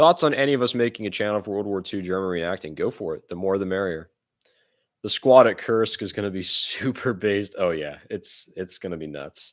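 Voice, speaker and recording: With an American accent, a man talks at a fairly quick pace in a fairly low pitch. He has a normal speaking voice with ordinary pitch variation. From United States. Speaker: live streamer and war reenactor. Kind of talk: casual livestream Q&A reading chat. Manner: casual, conversational.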